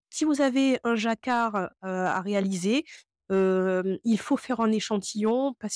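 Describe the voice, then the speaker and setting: The speech comes at a very slow pace with a dry sound, no echo, and a quiet background. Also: woman. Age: 30s. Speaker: knitting youtuber and yarn dyer; knitting youtuber. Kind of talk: tutorial. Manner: hesitant, many filler sounds. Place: home room. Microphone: lapel.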